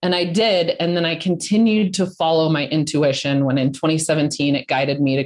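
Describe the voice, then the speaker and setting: With an American accent, a woman speaks at a moderate pace in a fairly low pitch and an unremarkable speaking voice. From Colorado, US. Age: 40s. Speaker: entrepreneur, founder of a women's business network. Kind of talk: interview.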